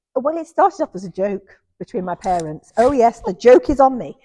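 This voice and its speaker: A woman with a Lancashire accent speaks at a high pitch with very wide pitch swings. The sound is dry and close, with no echo. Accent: Lancashire lilt. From southwest Lancashire, England. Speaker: theatre nurse and trainee priest. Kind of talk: casual interview. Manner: energetic.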